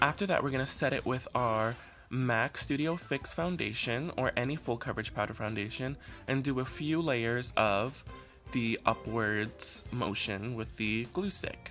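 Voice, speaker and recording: A man with a medium pitch and an upbeat tone talks at a fairly slow pace, using ordinary pitch variation. Faint music plays in the background. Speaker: makeup artist. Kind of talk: makeup tutorial narration. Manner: casual, upbeat.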